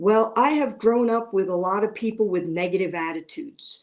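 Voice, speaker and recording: A woman speaks with ordinary pitch variation. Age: 60s. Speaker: retired nurse and content creator. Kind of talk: interview. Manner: halting.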